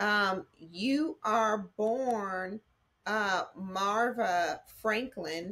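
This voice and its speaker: A woman speaks with an American accent in a bright, sharp tone, with ordinary pitch variation. Her pace is very slow, and the background is quiet. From Texas. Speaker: interviewer, family historian; interviewer. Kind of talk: family interview. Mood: warm, respectful. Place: home room. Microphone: video call.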